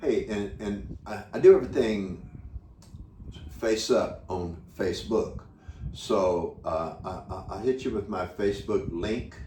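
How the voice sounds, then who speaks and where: A man speaks fairly slowly in an audibly echoing room, with long, frequent pauses and big swings in loudness. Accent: American. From United States. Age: 70s. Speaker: retiree running a children's charity. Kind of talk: interview. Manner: halting, repeats words.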